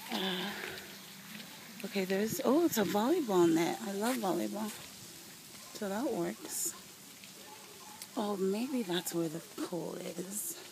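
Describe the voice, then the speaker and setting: Lively in intonation, a woman speaks at a very slow pace with long, frequent pauses over noticeable background noise. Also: medium pitch for a woman. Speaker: travel vlogger. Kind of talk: walking video diary. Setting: outdoors at a resort. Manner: casual, meandering with fillers.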